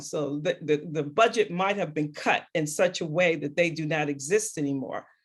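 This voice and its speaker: A woman with an American accent and a normal speaking voice, fairly low in pitch, at a moderate pace with ordinary pitch variation. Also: hardly any pauses. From New York City (Queens). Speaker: discussion moderator. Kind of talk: virtual group discussion. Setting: video call.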